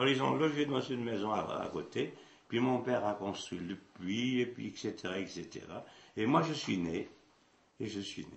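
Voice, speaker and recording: Against audible room echo, a man speaks fairly slowly with lively intonation. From central France, Puy-de-Dôme. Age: 80s+. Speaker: traditional hurdy-gurdy musician. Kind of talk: interview, life story. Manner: halting, with repetitions.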